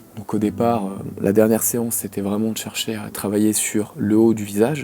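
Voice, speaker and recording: Noticeable background noise sits behind a man with a fairly low pitch. He talks at a moderate pace with monotone, flat intonation. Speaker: acupuncturist. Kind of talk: live demonstration commentary. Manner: soft-spoken.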